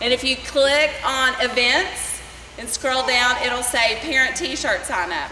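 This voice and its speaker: A woman projects her raised, high-pitched voice amid noticeable background noise and audible room echo. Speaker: swim club coach. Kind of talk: parents meeting briefing.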